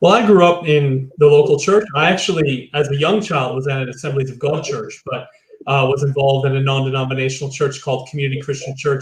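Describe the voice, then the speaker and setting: A man with a slight Chicago accent, fairly high pitch, ordinary pitch variation and a very fast pace. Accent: slight Chicago American. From US Midwest, Chicago. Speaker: church leader. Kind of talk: interview.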